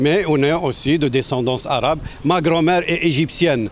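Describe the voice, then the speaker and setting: Pitch varies in an ordinary way while noticeable background noise sits behind the speech. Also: man. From western Algeria. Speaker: municipal election candidate. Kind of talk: interview. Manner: halting.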